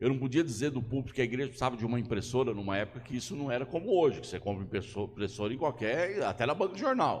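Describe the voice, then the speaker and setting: A man's somewhat breathy voice at a very fast pace with hardly any pauses. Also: medium pitch for a man, lively intonation. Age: 60s. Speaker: pastor. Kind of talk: sermon.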